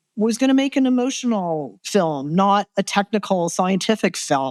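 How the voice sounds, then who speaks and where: A woman with an unremarkable speaking voice and a medium pitch talks with a Canadian accent, the sound dry and close with no echo. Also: very clean recording, silent background. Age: 60s. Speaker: photojournalist and documentary filmmaker. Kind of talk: interview. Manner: conversational, frequent fillers like 'like' and 'you know'.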